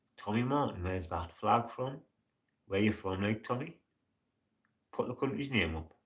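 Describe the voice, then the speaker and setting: A man with a Geordie accent and a fairly low pitch speaks at a moderate pace, somewhat breathy and with lively intonation, leaving long, frequent pauses. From northern England, Newcastle upon Tyne. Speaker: live streamer. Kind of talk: casual chat.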